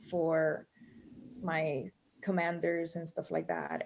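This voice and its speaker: At a very slow pace, a woman speaks with a Spanish accent. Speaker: author and marine veteran. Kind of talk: video interview.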